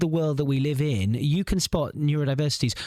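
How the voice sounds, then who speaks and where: A man's fairly high-pitched voice at a fairly quick pace. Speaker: podcast co-host. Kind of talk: casual chat. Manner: fast.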